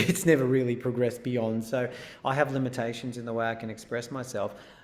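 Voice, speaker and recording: Here a man is speaking. He has an Australian accent. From Israel, moved to Australia at ten. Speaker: singer-songwriter. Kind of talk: interview. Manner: halting, many repeats.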